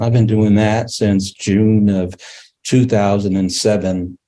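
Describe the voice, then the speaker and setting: A man with an American accent has a fairly low pitch and a dark, mellow tone. His intonation is monotone and flat. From Kansas City, Missouri. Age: 60s. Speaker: newspaper editor. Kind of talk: panel discussion. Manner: halting, many fillers.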